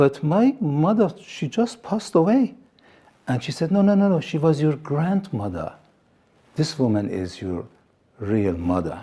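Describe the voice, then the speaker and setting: At a fairly slow pace with long, frequent pauses, a man with a fairly high pitch and dark, mellow tone swings his pitch very widely. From Iran. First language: Assyrian. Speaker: TV presenter and pastor. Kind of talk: testimony. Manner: halting.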